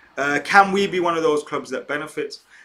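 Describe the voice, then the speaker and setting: With an English accent, a man speaks at a moderate pace in a fairly high voice with a bright, sharp tone. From England. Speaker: football YouTuber. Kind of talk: live stream chat. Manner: casual, with filler words.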